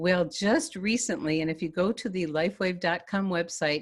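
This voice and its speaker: Pitch variation stays ordinary as the words arrive at a moderate pace. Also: woman. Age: 60s. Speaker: health product presenter. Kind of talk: webinar presentation. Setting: online webinar. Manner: animated.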